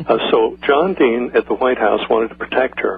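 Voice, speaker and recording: A man is heard over noticeable background noise. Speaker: former intelligence agency associate. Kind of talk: radio interview. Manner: fast.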